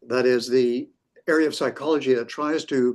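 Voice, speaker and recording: Speaking with a North American accent, a man of medium pitch keeps a moderate pace and fairly even intonation. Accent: North American, retained. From US West Coast, near San Francisco. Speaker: professor. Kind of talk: interview. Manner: halting, many fillers.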